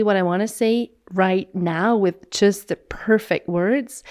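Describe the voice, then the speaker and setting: On a very clean recording with a silent background, a woman with a Swiss German accent speaks at a medium pitch with ordinary pitch variation. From Switzerland, Swiss German speaking. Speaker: podcast co-host. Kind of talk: casual chat. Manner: halting.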